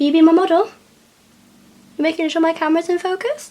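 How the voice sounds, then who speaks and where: A woman speaks at a fairly quick pace in an extremely high pitch. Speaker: beauty vlogger. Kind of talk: makeup tutorial. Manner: casual, chatty.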